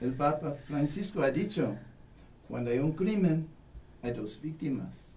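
A man with a fairly high pitch and lively intonation speaks at a very slow pace, leaving long, frequent pauses. Room echo is audible, and background noise is noticeable. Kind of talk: radio interview.

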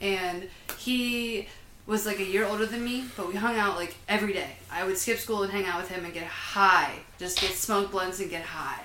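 With an American accent, a woman of medium pitch speaks at a moderate pace and fairly even intonation, with noticeable background noise and audible room echo. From Huntsville, Alabama. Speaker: budtender. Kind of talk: casual chat.

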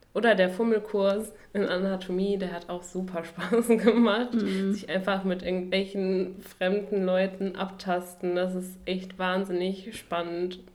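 At a fairly slow pace and medium pitch, a woman talks in a flat monotone with hardly any pauses, over noticeable background noise and audible room echo. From western Germany, Duisburg (Ruhr area). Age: 20s. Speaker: medical student, podcast co-host. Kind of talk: casual chat.

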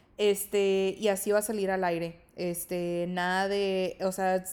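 Woman's voice at medium pitch. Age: 20s. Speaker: podcast host. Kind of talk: casual monologue. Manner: filler-heavy, frequent 'este'.

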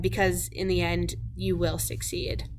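A woman speaks at a fairly slow pace with a Canadian Prairies accent, her voice showing vocal fry and ordinary pitch variation amid audible room echo. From southern Saskatchewan. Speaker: podcast host, agriculture student. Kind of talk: scripted narration.

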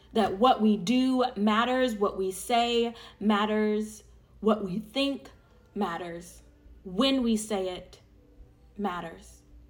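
Over music in the background, a woman with a fairly high pitch speaks at a very slow pace with long, frequent pauses. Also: ordinary pitch variation. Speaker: prayer leader. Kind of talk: fervent public prayer, earnest and rhythmic with repeated phrases. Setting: online audio session for listeners. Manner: conversational and warm when addressing listeners.

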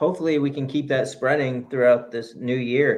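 This man has a normal speaking voice with a fairly high pitch. He talks at a moderate pace. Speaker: podcast co-host, runner. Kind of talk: casual chat, live show banter. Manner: playful, joking.

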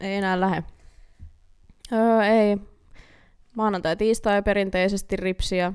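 A woman at a medium pitch speaks very slowly, with long, frequent pauses. Her intonation stays monotone and flat. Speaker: podcast co-host. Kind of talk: casual chat. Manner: soft-spoken.

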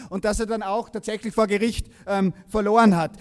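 At a moderate pace, a man with a high-pitched voice speaks with fairly even intonation. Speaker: political activist. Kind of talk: rally speech. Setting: stage with audience.

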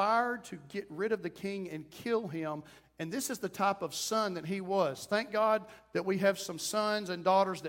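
Ordinary pitch variation over plain reading aloud

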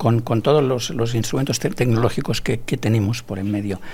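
The man's voice comes across somewhat breathy, captured in a very clean recording against a silent background. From Barcelona area, Catalonia, Spain. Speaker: architect and researcher. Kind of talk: interview. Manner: halting, repeats words.

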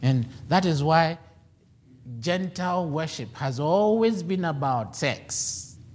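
Intonation stays lively even though the pace is very slow. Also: man, fairly high pitch for a man. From Ghana. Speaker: preacher. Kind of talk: sermon.

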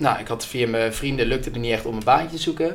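With a medium pitch and fairly even intonation, a man speaks in a space with audible room echo. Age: 20s. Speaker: business student and customer success employee. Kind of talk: casual interview.

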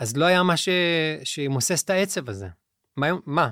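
Fairly high man's voice at a moderate pace, on a very clean recording with a silent background. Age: 40s. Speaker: musician and life coach. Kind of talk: interview conversation. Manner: halting.

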